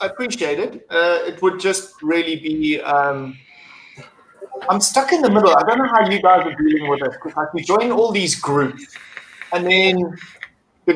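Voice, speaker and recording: Lively intonation marks this man's high-pitched voice, in a South African accent. He keeps a moderate pace. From South Africa, Durban. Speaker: acrylic mod maker and vape reviewer. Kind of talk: casual chat.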